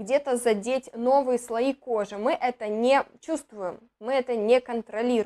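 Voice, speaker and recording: An animated woman's voice, high in pitch, with ordinary pitch variation. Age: 20s. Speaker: beauty blogger and cosmetics distributor; beauty blogger. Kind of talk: product review. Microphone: lapel.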